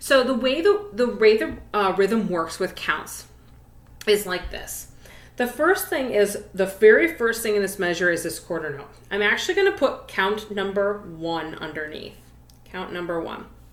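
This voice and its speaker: Audible room echo surrounds a woman speaking at a moderate pace. Her intonation is lively, and her loudness swings widely. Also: medium pitch for a woman. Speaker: elementary music teacher. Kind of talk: tutorial.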